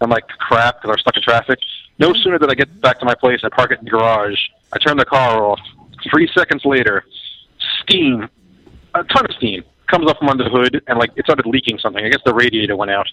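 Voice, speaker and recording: With a New York accent, a man talks at a very fast pace, using ordinary pitch variation and leaving long, frequent pauses. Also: medium pitch for a man. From Queens, New York. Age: 20s. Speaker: actor. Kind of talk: casual chat.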